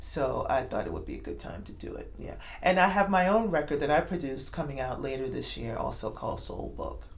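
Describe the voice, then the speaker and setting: Big swings in loudness mark this woman's speech with a New York accent, heard with audible room echo. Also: fairly quick pace, hardly any pauses. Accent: New York American English. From New York City. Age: 50s. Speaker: jazz singer. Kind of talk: interview. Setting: club in Moscow.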